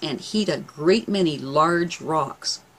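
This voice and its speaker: A woman speaks with a fairly low pitch. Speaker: herbal remedy educator. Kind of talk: tutorial. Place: home room.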